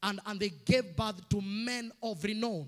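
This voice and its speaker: A man at a fairly slow pace over a quiet background. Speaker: preacher. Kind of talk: sermon. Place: church. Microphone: handheld.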